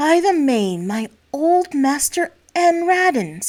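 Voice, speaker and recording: A woman does a put-on character voice, pitched high and delivered at a fairly slow pace. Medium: read story.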